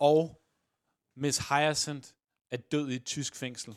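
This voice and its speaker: This man speaks with a fairly high pitch. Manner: animated, playful, dramatic in the commentary.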